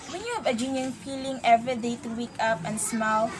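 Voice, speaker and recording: Fairly high in pitch, a woman speaks with a Visayan accent over noticeable background noise. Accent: Filipino English, Visayan. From Philippines, Socorro (Visayas/Mindanao). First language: Visayan (Socorronhon dialect). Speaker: college student. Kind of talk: interview.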